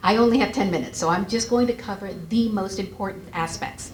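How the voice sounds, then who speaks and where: Over noticeable background noise and audible room echo, a woman with an American accent speaks fairly quickly in a fairly high pitch with ordinary pitch variation. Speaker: credit bureau representative. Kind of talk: seminar presentation. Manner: fast.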